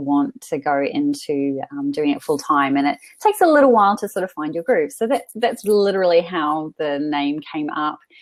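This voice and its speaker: Speaking at a moderate pace with a New Zealand accent, a woman makes very wide pitch swings. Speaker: freelance writer and author coach. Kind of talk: webinar interview. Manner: hesitant, many fillers.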